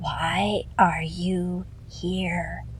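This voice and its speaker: Using a put-on character voice, a woman speaks quietly and raspily over clear background noise. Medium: read story. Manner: menacing.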